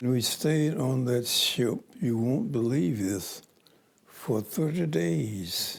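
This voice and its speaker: Over noticeable background noise, a man speaks at a very slow pace with very wide pitch swings and very even loudness. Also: medium pitch for a man. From Macon, Georgia. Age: 80s+. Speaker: World War Two veteran. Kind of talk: interview answer.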